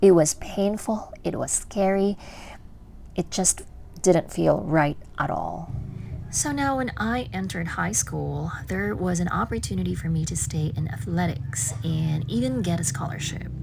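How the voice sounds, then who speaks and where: Amid audible room echo, a woman with a very deep, low voice speaks fairly slowly, her pitch swinging very widely. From Philippines. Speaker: vlogger. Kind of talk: personal vlog narration. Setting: gym.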